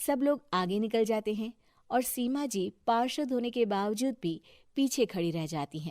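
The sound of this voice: With lively intonation, a woman talks at a moderate pace in a fairly high pitch and a slightly mellow tone.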